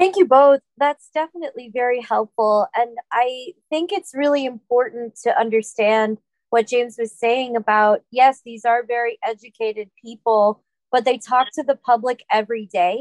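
At a moderate pace, a high-pitched woman speaks with ordinary pitch variation in a dry, close sound with no echo. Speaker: event facilitator. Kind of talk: moderated panel discussion. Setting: online event. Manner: halting with filler words.

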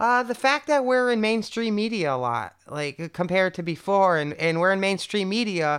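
On a very clean recording with a silent background, a woman with an American accent speaks at a medium pitch and a moderate pace, her intonation lively. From US Northeast, Connecticut. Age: 30s. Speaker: interview guest, bagpipe performer. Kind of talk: casual interview.

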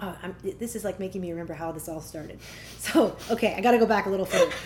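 Over noticeable background noise, a woman with a Canadian accent talks at a very fast pace with lively intonation. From Ottawa, Canada. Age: 30s. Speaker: singer-songwriter and vocal coach. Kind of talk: casual interview chat. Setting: at parents' home.

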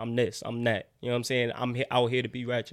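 A man speaks with a New York accent. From New York City, Brooklyn. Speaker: college football player. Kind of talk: casual chat.

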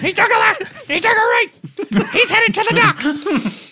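A put-on character voice comes through at an extremely high pitch. The pace is moderate. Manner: excited.

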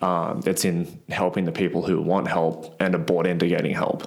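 Speaking in a flat monotone with an Australian accent, this voice comes through on a very clean recording with a silent background. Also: man. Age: 20s. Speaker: gym owner and strongman athlete. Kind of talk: casual interview chat.

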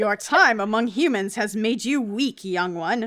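In a put-on character voice, a female-sounding speaker growls at a fairly high pitch and a moderate pace. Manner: menacing, condescending.

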